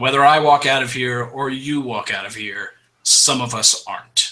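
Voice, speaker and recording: A man's raspy, put-on character voice at medium pitch, moderate pace and flat, monotone intonation. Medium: actual play. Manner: clipped, cold, matter-of-fact.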